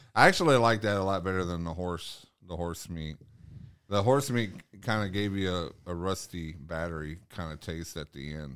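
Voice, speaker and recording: A man talks at a moderate pace in a very deep, low voice with ordinary pitch variation. His loudness rises and falls in big swings. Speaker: podcast host. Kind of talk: casual chat. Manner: halting, many fillers.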